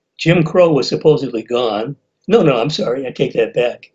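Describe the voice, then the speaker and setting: Somewhat breathy, a man with an American accent speaks at a moderate pace. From United States. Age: 80s+. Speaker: blogger and writer. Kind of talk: interview. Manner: halting.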